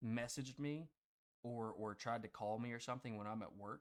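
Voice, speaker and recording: Delivered at a fairly quick pace, the speech comes in an ordinary speaking voice with ordinary pitch variation. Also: man. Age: 20s. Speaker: podcast co-host. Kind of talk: casual chat.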